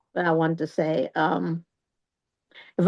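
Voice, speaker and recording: A woman speaking at a moderate pace. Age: 60s. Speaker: family member guest on a conversation show. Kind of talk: casual chat.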